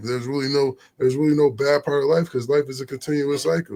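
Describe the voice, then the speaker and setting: The delivery is very fast. The voice sounds somewhat breathy. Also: man. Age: 40s. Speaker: vlogger. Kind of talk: casual monologue. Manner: animated.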